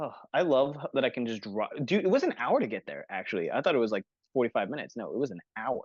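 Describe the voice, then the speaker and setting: Very fast male speech with very wide pitch swings, in a dry, close sound with no echo. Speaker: podcast host. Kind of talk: casual chat. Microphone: poor bandwidth connection.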